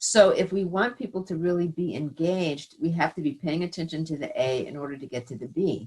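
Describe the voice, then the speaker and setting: Talking at a fairly quick pace with hardly any pauses, a woman with an American accent has an unremarkable speaking voice at a fairly low pitch, with ordinary pitch variation and big swings in loudness. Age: 60s. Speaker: college president emerita. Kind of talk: conversational lecture. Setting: virtual event.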